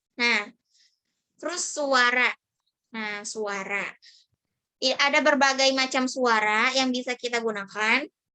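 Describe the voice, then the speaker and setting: A woman with a high pitch talks at a very slow pace, pausing long and often, with ordinary pitch variation. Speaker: public speaking trainer; university student. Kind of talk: online training session. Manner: casual, conversational.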